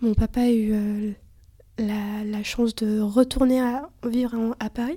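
A woman speaks very slowly in a fairly high, somewhat breathy voice. Her tone is dark and mellow. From Lithuania, raised mostly in France. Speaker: student. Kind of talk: casual interview.

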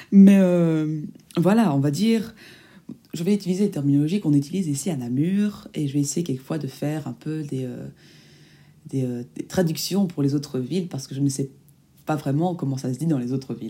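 Long, frequent pauses within an otherwise fairly quick pace. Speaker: student podcaster. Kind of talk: casual monologue. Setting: home recording. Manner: halting.

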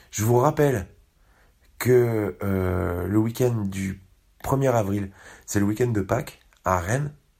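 Speaking with a Parisian accent, a man uses a fairly low pitch and ordinary pitch variation at a very slow pace with long, frequent pauses. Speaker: podcast host. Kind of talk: casual podcast narration.

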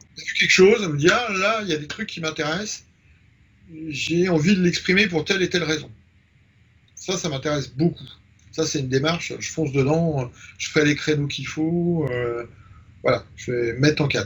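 A man speaks at a moderate pace with ordinary pitch variation. He takes long, frequent pauses. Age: 50s. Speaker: photographer. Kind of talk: interview. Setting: home studio.

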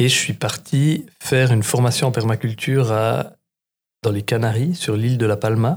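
A man speaks at a fairly slow pace and a medium pitch. His voice is somewhat breathy, with ordinary pitch variation. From Switzerland, Bernese Jura. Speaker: market gardener and trainer. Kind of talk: casual chat.

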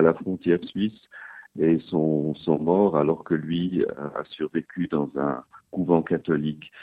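Speaking with fairly even intonation, a man has a very deep, low pitch. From French- and Italian-speaking Switzerland (Geneva, Lugano). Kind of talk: interview.

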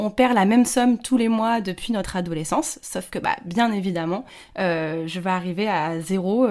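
This woman speaks at a medium pitch with ordinary pitch variation and a moderate pace. The recording is very clean and the background silent. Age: 30s. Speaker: podcaster and freelancer sharing her infertility story. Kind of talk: casual interview. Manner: hesitant, many fillers.

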